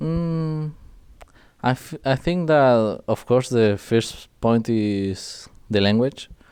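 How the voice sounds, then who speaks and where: In a Spanish accent, the speaker goes at a very slow pace with lively intonation against a quiet background. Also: man, medium pitch for a man. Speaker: esports pro player. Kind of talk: interview.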